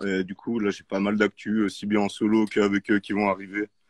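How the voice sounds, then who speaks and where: A man talks with a fairly low pitch in an unremarkable speaking voice. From Geneva, Switzerland. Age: 30s. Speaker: rapper. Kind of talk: casual chat.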